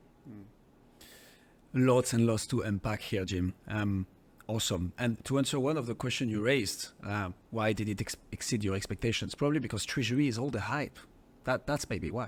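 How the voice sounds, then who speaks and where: Speaking with a French accent at a moderate pace and a medium pitch, a man shows ordinary pitch variation in a very clean recording with a silent background. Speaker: podcast host. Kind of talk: interview.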